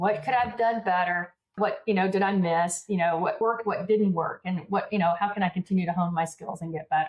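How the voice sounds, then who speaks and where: This woman talks at a fairly quick pace with hardly any pauses. Her medium pitch holds fairly even intonation. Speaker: business coach and public speaker. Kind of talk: podcast interview. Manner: fast.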